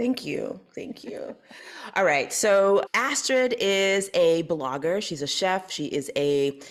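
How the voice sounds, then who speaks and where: The speaker goes at a very slow pace with very wide pitch swings over noticeable background noise. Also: woman, medium pitch for a woman. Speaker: podcast host. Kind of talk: interview.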